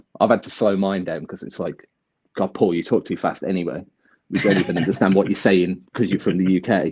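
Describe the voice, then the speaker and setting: A very deep, low-pitched man with an English accent, fairly even intonation and a fairly quick pace. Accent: broad English. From English Midlands. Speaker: crypto video creator. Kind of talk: casual chat. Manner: fast.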